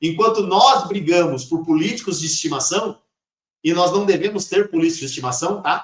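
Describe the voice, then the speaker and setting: A man talks in a high pitch, his intonation lively. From Brazil. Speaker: history teacher. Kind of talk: lecture. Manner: fast; halting.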